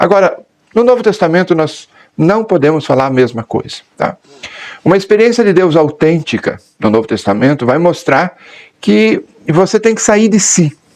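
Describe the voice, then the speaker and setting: Speaking at a moderate pace with a high pitch, a man takes long, frequent pauses while his pitch swings very widely. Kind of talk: catechetical talk.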